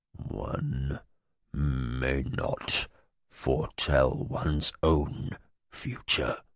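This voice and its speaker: A man whispers and growls quietly in a put-on character voice. He speaks at a very slow pace. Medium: read story. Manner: quiet, cold, menacing.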